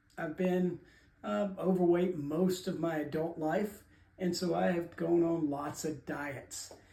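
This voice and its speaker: Speaking very slowly with a dark, mellow tone, a man uses a high pitch and fairly even intonation while room echo can be heard. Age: 60s. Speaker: diet vlogger. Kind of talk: casual talk to camera. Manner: halting, many fillers.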